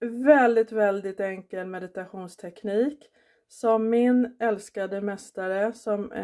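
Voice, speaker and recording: A woman's very slow, gentle voice with a dark, mellow tone and fairly even intonation over a quiet background. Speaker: vlogger. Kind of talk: guided meditation; casual vlog. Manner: soft, warm, unhurried; gentle, encouraging, instructing the listener step by step. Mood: calm, warm, grateful. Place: kitchen. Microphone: phone near.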